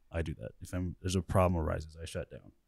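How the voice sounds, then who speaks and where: A very deep, low male voice with fairly even intonation, on a very clean recording with a silent background. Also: dry, close sound with no echo. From Colorado. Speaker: church member. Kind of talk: casual chat. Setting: studio.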